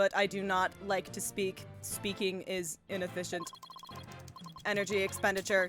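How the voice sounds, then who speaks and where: A robotic, female-sounding put-on character voice speaks at a medium pitch and moderate pace over clear music in the background. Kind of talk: flat, clipped.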